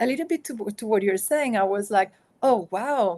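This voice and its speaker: In a Spanish accent, a woman speaks fairly quickly with lively intonation. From Spain. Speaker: author and consultant. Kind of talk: interview.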